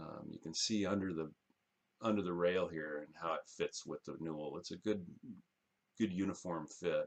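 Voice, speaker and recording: A man's very deep, low voice, mumbling at a moderate pace with fairly even intonation. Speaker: carpenter. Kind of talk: casual screen-capture walkthrough for clients.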